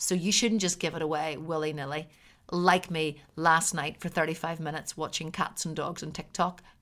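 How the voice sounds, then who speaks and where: A woman with a Northern Irish accent speaks in a monotone at a moderate pace and fairly low pitch, on a very clean recording with a silent background. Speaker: podcast host and artist. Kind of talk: solo podcast monologue. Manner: preachy delivery.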